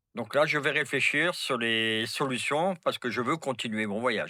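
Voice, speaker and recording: Recorded very cleanly against a silent background, a man talks with lively intonation in a bright, sharp tone. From France. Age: 70s. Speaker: long-distance traveler with horses. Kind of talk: casual interview chat.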